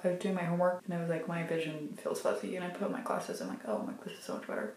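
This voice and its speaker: Room echo can be heard as this woman talks. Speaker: college student. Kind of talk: casual vlog talk to camera. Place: home room. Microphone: phone near.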